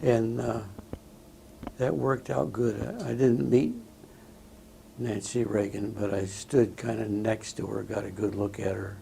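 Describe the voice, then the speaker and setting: A man with an American accent speaks fairly slowly at a fairly low pitch, with ordinary pitch variation, long and frequent pauses, and noticeable background noise. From Southern California. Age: 80s+. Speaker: war veteran. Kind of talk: oral history interview. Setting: veterans home interview. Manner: halting, many fillers.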